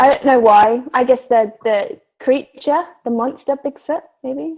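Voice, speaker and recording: A woman with an English accent speaks at a fairly slow pace. Her voice is high, with lively intonation. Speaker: actor. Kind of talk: casual chat.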